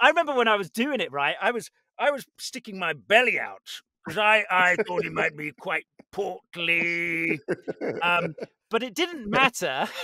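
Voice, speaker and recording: A man's raised, projected voice, high in pitch, with lively intonation and a British accent, in a dry sound with no echo and a quiet background. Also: moderate pace. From Britain. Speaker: voice actor. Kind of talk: interview answer. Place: studio. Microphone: studio mic.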